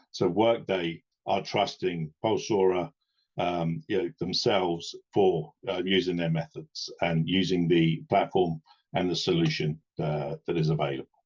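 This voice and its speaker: At a fairly slow pace, a man speaks with a very deep, low pitch and ordinary pitch variation in a dry, close sound with no echo. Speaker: webinar presenter. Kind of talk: webinar presentation. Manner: hesitant, many fillers.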